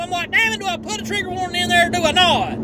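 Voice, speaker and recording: A man talks at a very fast pace with crowd noise in the background. The sound is dry, with no echo. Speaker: vlogger. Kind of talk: casual vlog chat. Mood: teasing, mock indignant. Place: car. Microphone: phone near.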